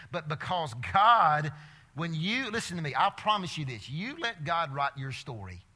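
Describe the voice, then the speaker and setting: Speaking with an Alabama accent, a man uses a fairly high, bright and sharp voice, animated in tone, with very wide pitch swings. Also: moderate pace. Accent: Southern US (Alabama). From US South, Alabama. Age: 50s. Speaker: preacher and teacher speaking to students. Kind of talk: sermon to a student audience.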